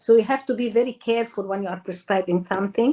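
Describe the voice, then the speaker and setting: The speaker talks at a fairly quick pace with an Arabic accent. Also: woman. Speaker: doctor, endocrinologist. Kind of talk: interview.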